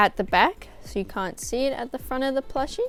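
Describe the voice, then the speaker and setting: Background music plays throughout. Over it, a woman talks. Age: 20s. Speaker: crochet artist. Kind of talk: tutorial. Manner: casual, hesitant with fillers.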